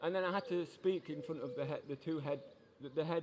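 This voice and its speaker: In a Yorkshire accent, a man speaks with a fairly high pitch. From Yorkshire, England. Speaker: passerby. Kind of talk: casual chat. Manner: halting.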